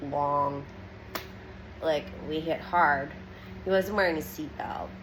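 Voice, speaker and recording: A woman's very deep, low voice at a fairly slow pace, with audible room echo and noticeable background noise. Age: 30s. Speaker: social media vlogger. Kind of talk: personal testimony. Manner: halting, many fillers.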